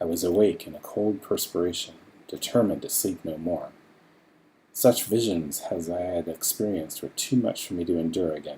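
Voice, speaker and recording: Soft-spoken and somewhat breathy, a man talks with a very deep, low pitch. His tone is dark and mellow. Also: ordinary pitch variation, moderate pace. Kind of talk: horror story reading, ASMR.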